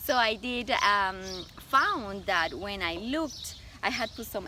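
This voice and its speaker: Against noticeable background noise, a woman of medium pitch speaks with lively intonation in a Colombian accent. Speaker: stylist and image consultant. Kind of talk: interview.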